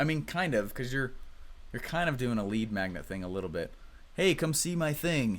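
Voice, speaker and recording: His pitch sits in the medium range, yet this man swings it very widely. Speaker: online marketing coach. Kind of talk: live webinar teaching. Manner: fast; animated.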